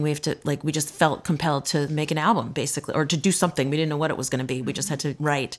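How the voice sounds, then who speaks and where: A woman with an American accent speaks at a very fast pace in a very deep, low pitch. Her intonation is fairly even, and the recording is very clean with a silent background. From US East Coast. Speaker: bluegrass musician. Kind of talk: interview. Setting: at home.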